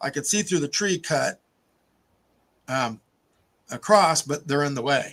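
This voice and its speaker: A man's fairly high voice with vocal fry, at a very slow pace. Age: 60s. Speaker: hobby shop owner. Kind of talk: casual chat.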